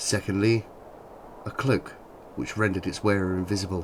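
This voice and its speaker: A man speaks with an English accent. His pitch sits fairly low. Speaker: narrator. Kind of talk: fairy tale reading.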